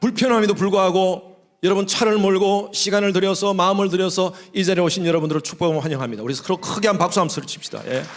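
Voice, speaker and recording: A man's high voice at a very fast pace with ordinary pitch variation, audible room echo and noticeable background noise. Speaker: pastor. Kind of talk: sermon. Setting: church.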